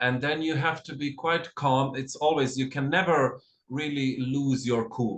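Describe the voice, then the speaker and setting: Fairly slow and fairly even in intonation, a man talks in a somewhat breathy voice. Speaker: costume designer. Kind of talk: lecture. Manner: halting.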